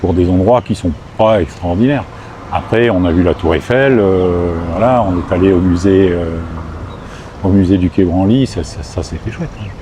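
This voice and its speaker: Over noticeable background noise, a man with a very deep, low pitch talks at a moderate pace with ordinary pitch variation and long, frequent pauses. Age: 60s. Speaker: retiree living abroad. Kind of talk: interview. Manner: hesitant, many fillers.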